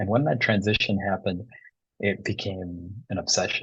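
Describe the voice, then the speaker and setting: Over a quiet background, a man with a Midwestern accent speaks at a fairly low pitch, somewhat breathy and fairly even in intonation. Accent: American Midwest. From US Midwest, suburban Detroit, Michigan. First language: Bengali. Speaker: tango DJ and teacher, environmental psychologist. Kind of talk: interview.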